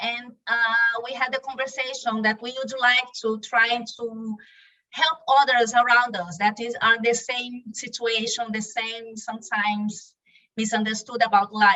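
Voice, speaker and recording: A woman with a Brazilian Portuguese accent speaks at a fairly high pitch with fairly even intonation. Her loudness swings widely. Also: fairly slow pace. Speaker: spiritual YouTube channel co-founder. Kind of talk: podcast interview.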